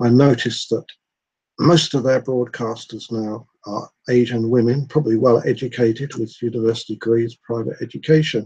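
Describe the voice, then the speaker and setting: Somewhat breathy and dark, mellow in tone, a man speaks at a medium pitch and moderate pace with fairly even intonation. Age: 60s. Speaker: vlogger. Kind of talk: personal monologue. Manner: hesitant, with many fillers.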